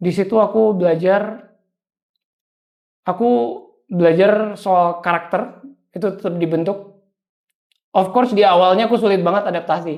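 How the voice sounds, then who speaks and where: A man speaks at a moderate pace with a high pitch and fairly even intonation. Long, frequent pauses break up his speech. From Indonesia, Surabaya then Papua. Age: 20s. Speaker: young entrepreneur. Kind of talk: interview.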